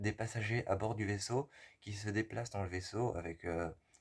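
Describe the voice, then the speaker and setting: A somewhat breathy man with fairly even intonation on a very clean recording with a silent background. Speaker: film reviewer. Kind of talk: film review monologue. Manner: halting, many hesitations.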